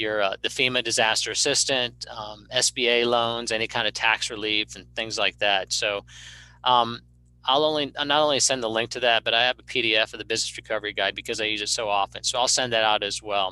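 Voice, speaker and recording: At a fairly quick pace, a man of medium pitch speaks with a bright, sharp tone and fairly even intonation, in a dry, close sound with no echo. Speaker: emergency management director. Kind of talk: presentation. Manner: fast; halting.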